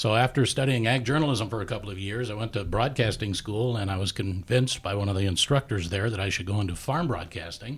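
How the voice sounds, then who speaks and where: A very fast, somewhat breathy man's voice with an American accent, fairly low in pitch, with ordinary pitch variation and hardly any pauses. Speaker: radio farm broadcaster, extension staff. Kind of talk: casual interview chat.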